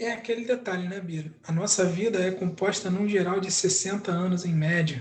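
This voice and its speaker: Against noticeable background noise, a high-pitched man speaks at a moderate pace with fairly even intonation and hardly any pauses. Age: 30s. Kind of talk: casual chat.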